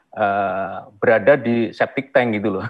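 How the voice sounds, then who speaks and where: A man's voice, fairly even in intonation, over a quiet background. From rural Indonesia. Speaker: museum director, archaeologist; webinar speaker. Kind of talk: webinar presentation. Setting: video call. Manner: halting. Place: office. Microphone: earbuds.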